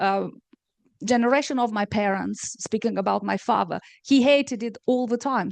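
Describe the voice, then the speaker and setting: Fairly even intonation comes in a Romanian accent. The sound is dry and close with no echo, with a quiet background. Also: woman. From Moldova, Chisinau. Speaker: novelist. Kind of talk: panel discussion. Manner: hesitant, many fillers.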